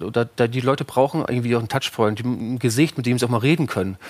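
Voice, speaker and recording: A man speaks at a very fast pace. His medium pitch shows ordinary pitch variation. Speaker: startup co-founder. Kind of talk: interview. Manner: hesitant, many fillers.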